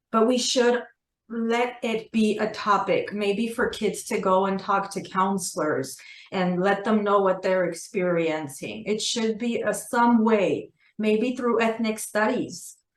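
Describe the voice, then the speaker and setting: A woman with an Armenian accent talks at a fairly slow pace, her fairly high pitch showing ordinary variation. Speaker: assistant principal and author. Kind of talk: interview. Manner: conversational with fillers.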